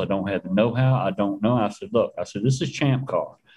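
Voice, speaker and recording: This man has an ordinary speaking voice at medium pitch. His pitch variation is ordinary. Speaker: racing tech expert and driver. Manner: storyteller, folksy.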